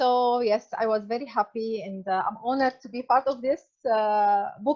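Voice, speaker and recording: Speaking with a non-native accent, a woman keeps a moderate pace. Her pitch is fairly high, with ordinary variation. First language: not English. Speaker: author sharing personal health story. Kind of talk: interview testimony. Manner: halting, many fillers.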